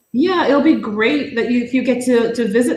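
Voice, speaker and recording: A woman's fairly high voice at a moderate pace, with lively intonation and audible room echo. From Jamaica. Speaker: live stream guest. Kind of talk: casual chat.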